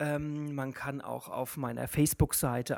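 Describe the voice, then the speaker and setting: A woman's voice, very deep and low in pitch. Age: 20s. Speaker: drag queen. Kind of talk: casual chat.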